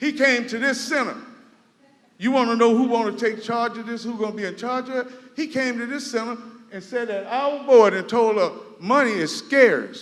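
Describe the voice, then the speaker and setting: A man with an American accent speaks at a moderate pace in an extremely high pitch, with audible room echo and noticeable background noise. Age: 60s. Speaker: resident speaking at public meeting. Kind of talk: public comment at town hall. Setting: community center meeting hall. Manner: animated.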